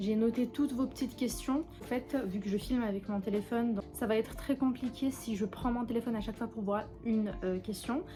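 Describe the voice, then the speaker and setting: A woman with a fairly high pitch delivers her words at a fairly quick pace, using ordinary pitch variation. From Algeria, Kabylie (Tizi Ouzou). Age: 20s. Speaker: beauty YouTuber. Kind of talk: casual chat while doing makeup.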